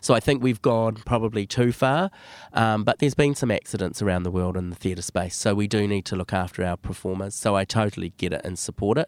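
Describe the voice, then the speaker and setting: A man speaks very fast in a fairly low voice with ordinary pitch variation. The recording is very clean and dry, close-miked with no echo against a silent background. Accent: New Zealand. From New Zealand, West Auckland. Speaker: drama teacher and theatre director. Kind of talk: casual interview.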